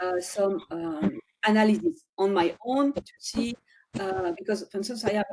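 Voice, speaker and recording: Somewhat breathy with a dark, mellow tone, a woman talks at a moderate pace with ordinary pitch variation. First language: not English. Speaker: data visualization expert. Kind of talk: webinar Q&A. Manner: halting. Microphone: video call.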